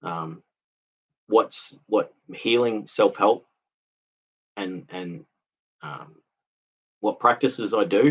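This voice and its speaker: Speaking at a very slow pace with long, frequent pauses, a man with a medium pitch uses lively intonation and big swings in loudness. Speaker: CPTSD recovery vlogger. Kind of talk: casual live stream talk. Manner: halting.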